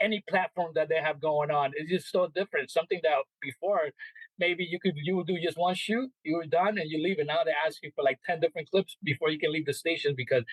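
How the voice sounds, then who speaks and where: Very fast speech with a Spanish accent. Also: man. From El Salvador. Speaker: sports reporter and media relations manager. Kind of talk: interview answer. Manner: casual.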